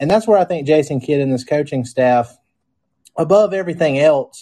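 A man with a dark, mellow tone talks at a moderate pace, the background quiet. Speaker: podcast host. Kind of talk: casual sports podcast chat. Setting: live stream.

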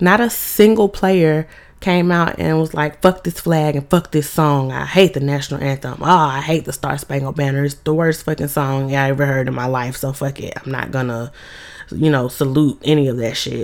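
A woman with a very deep, low pitch and an animated tone, at a moderate pace with ordinary pitch variation, amid noticeable background noise. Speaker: sports podcast host. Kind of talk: casual monologue.

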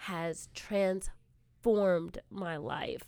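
A woman with a Californian accent. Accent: Californian American. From Southern California, South Bay area. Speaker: assistant principal. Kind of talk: interview.

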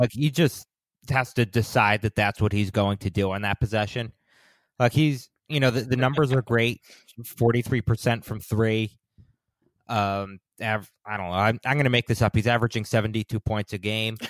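On a very clean recording with a silent background and a dry, close sound with no echo, a man speaks in an unremarkable speaking voice at medium pitch, a moderate pace and with fairly even intonation. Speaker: podcast host. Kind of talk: casual chat.

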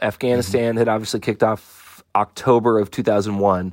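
With an American accent, a man speaks in an unremarkable speaking voice at a medium pitch and moderate pace, using fairly even intonation in a dry, close sound with no echo. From Southern California. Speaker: army veteran. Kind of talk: interview.

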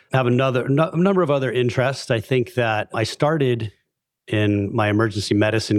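Talking at a very fast pace is a man. The recording is very clean, with a silent background. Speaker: emergency physician and healthcare executive. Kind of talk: casual interview chat.

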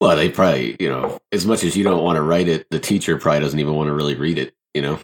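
Very fast speech from a man with a very deep, low pitch and ordinary pitch variation, in a dry, close sound with no echo. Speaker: gaming podcast guest. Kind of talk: casual chat.

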